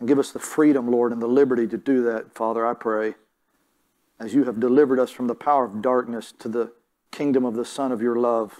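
A man's monotone, flat delivery at a fairly quick pace over a quiet background. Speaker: preacher. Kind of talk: sermon. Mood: calm, earnest. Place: church.

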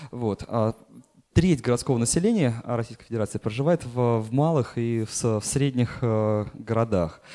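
Over a quiet background, a man with a dark, mellow tone speaks at a moderate pace with ordinary pitch variation. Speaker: dean and urban planner; speaker. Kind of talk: conference talk. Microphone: handheld.

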